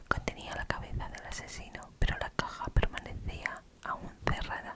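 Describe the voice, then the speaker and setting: A fairly slow whisper amid noticeable background noise. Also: woman. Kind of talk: whispered ASMR storytelling of a legend. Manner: whispered, soft.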